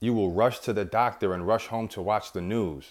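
A man speaks in an ordinary speaking voice with an American accent, his fairly low pitch moving with ordinary variation over a very clean recording with a silent background. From New York. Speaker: self-help podcast host. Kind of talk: motivational monologue.

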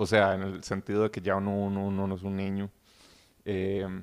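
This is a man speaking. The pace is moderate. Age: young. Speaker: podcast guest. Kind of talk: casual chat.

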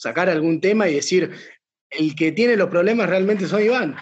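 A man talks with a Rioplatense accent. The background is quiet. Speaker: podcast host. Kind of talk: casual chat.

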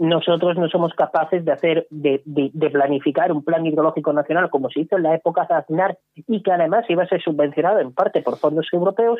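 A man speaks with a high pitch. His pace is fairly quick. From Cádiz province, Andalusia (sierra). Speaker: political commentator. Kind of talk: radio panel discussion.

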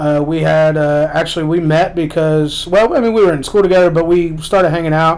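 Moderate pace, with audible room echo. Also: man. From Lexington, Kentucky. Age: 30s. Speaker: author. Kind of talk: casual chat.

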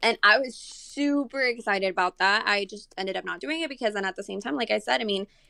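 A woman with a Spanish accent speaks fairly quickly at a medium pitch with ordinary pitch variation. Her tone is bright and sharp, and the sound is dry and close with no echo. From Monterrey, Mexico; raised in San Antonio from age nine. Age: 20s. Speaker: model. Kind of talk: casual chat.

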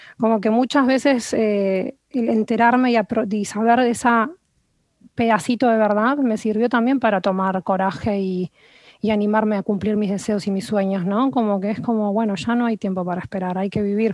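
A plain, everyday voice at a moderate pace with fairly even intonation, on a very clean recording with a silent background. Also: woman, fairly high pitch for a woman. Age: 30s. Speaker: nutritionist. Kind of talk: interview conversation.

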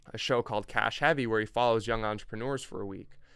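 A man with an ordinary speaking voice talks at a medium pitch and a fairly quick pace, his intonation fairly even, on a very clean recording with a silent background. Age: young. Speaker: online entrepreneur. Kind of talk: casual chat.

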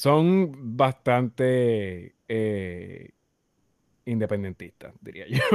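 At a very slow pace, a man speaks in a medium pitch with lively intonation. The sound is dry and close, with no echo. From Puerto Rico, Naranjito. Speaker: voice talent and audio journalist. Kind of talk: casual interview.

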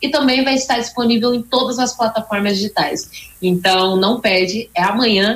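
Noticeable background noise sits under speech at a moderate pace, with very even loudness and ordinary pitch variation. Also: woman, fairly high pitch for a woman. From São Paulo state interior, Brazil. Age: 20s. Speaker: gospel singer. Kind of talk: interview.

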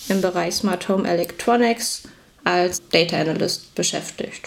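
Her voice is an ordinary speaking voice, fairly low in pitch. The woman talks at a fairly slow pace. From Bielefeld region, Germany. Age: 20s. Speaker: data analyst. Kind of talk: podcast interview. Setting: video call.

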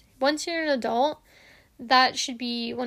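On a very clean recording with a silent background, a woman speaks at a moderate pace in a high pitch. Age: 20s. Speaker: podcast host. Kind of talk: casual solo monologue. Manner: casual, filler-heavy.

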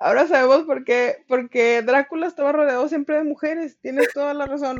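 The woman talks at a fairly quick pace. Her intonation stays fairly even. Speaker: literature podcast co-host. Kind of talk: casual chat.

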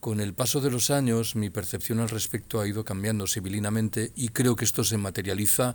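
In a plain, everyday voice, a man with fairly low pitch speaks at a fairly quick pace with fairly even intonation on a very clean recording with a silent background. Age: 60s. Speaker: retired political science professor and author. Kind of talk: interview.

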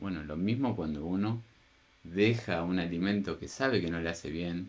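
Using a Rioplatense accent, a man speaks with a very deep, low pitch and ordinary pitch variation. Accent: Argentine Spanish (rioplatense). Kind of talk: casual chat. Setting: at home.

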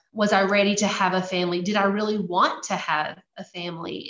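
A woman speaks at medium pitch in a Louisiana accent. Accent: Louisiana Southern. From US South, Louisiana. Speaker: missionary. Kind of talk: testimony.

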